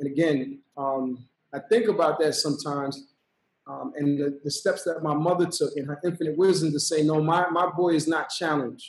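A man's fairly high voice with a New York accent, at a moderate pace with fairly even intonation. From Brooklyn, New York, of Trinidadian parents. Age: 40s. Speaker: violence interruption program director. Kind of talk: podcast interview. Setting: video call.

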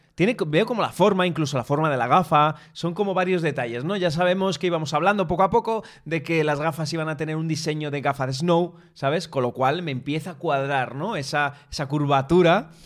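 A man speaks in a normal speaking voice at a fairly high pitch and a moderate pace. His pitch varies ordinarily on a very clean recording with a silent background. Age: 30s. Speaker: tech podcast co-host. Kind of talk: casual chat. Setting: studio, streamed live on video.

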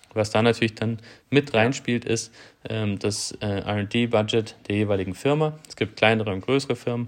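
A man speaks at a moderate pace with a medium pitch. His intonation stays fairly even against a quiet background. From southern Germany. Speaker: kite developer and tester. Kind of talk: interview. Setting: remote call from abroad. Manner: hesitant, many fillers.

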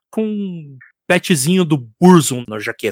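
A high-pitched man, dry and close with no echo, on a very clean recording with a silent background. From Curitiba, Paraná, Brazil. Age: 40s. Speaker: musician and IT support analyst. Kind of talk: casual chat. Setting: live stream.

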